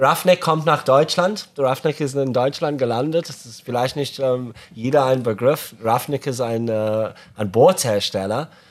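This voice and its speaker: A man with an English accent speaks fairly slowly at a medium pitch, his pitch varying in an ordinary way while his loudness swings widely. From Zimbabwe (Harare). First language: English (speaking German). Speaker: podcast co-host, fishing company founder. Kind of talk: casual chat. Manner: halting, non-native German.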